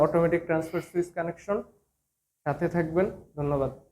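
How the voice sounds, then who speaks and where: A man with an ordinary speaking voice, fairly high in pitch, with fairly even intonation. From Bangladesh, Kushtia. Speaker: electrical trainee. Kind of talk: tutorial.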